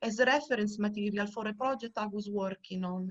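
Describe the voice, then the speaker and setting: A woman's intonation stays rather level as she talks at a medium tempo. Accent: Italian. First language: Italian. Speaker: archaeobotanist researcher. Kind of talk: online lecture.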